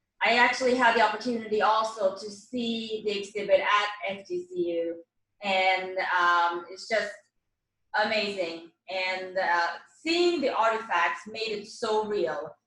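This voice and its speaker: The speaker talks at a fairly slow pace in a bright, sharp tone, with ordinary pitch variation, big swings in loudness and audible room echo. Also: woman, medium pitch for a woman. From Sweden. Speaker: event organizer. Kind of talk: closing remarks at virtual panel.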